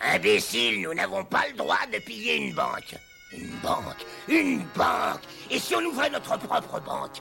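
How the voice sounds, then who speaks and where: Over clear music in the background, a man performs a cartoonish character voice at a moderate pace. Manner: irritable, shouting, bossy.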